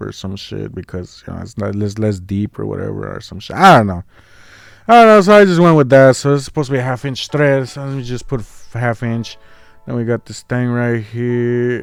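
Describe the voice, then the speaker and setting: In an unremarkable speaking voice, a man talks at a medium pitch and moderate pace in a very clean recording with a silent background. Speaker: CAD designer and machinist. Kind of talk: casual screen-recording walkthrough.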